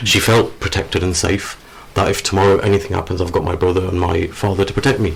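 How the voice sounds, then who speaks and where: A man speaks very fast with a very deep, low pitch. His intonation stays fairly even. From northern England, Sheffield, Yorkshire. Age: 40s. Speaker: author. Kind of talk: radio interview. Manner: halting.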